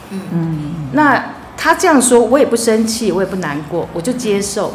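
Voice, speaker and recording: A woman speaks with very wide pitch swings while music plays behind her. Audible room echo surrounds her voice. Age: 50s. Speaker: visually impaired homemaker. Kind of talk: casual chat.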